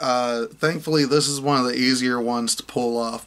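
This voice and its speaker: This man talks at a moderate pace in a medium pitch, with monotone, flat intonation. Noticeable background noise sits behind him. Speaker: YouTuber reviewing card game decks. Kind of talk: tutorial.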